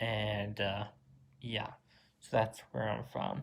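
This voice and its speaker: This is a man speaking at a medium pitch. He has an American accent. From Virginia, US. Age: 20s. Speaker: YouTuber, college student. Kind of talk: casual Q&A vlog. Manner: halting, many fillers.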